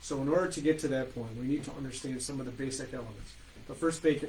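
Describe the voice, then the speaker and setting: A man with a medium-pitched voice talks at a very fast pace with fairly even intonation, and audible room echo surrounds him. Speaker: estate planning attorney. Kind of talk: webinar presentation. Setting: online webinar.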